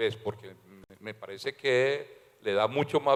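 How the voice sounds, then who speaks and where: Ordinary pitch variation in a man's speech. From Colombia, Valledupar (Caribbean coast). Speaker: novelist. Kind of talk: literary talk at public event. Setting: library event with audience. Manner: halting, many fillers.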